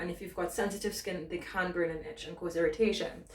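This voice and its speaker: Against noticeable background noise and audible room echo, a woman speaks very fast at a medium pitch with fairly even intonation. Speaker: fitness instructor. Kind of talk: tutorial. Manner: casual.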